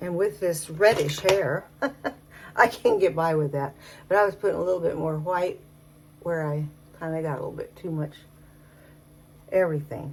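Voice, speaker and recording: A woman's somewhat breathy, fairly low-pitched voice at a moderate pace, with ordinary pitch variation and long, frequent pauses. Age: 70s. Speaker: makeup vlogger. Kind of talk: casual talk to camera. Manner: chatty, rambling.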